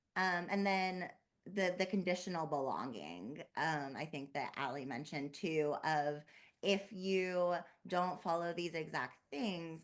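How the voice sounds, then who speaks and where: A woman speaks at a fairly slow pace. Her voice is very deep and low. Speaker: therapist. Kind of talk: panel discussion. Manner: soft-spoken. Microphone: too quiet.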